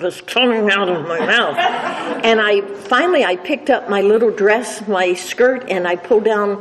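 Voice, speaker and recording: Over noticeable background noise, a woman talks at a medium pitch and a moderate pace with ordinary pitch variation. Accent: American. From US, Washington D.C. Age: 70s. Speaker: AA speaker. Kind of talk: testimony. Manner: halting.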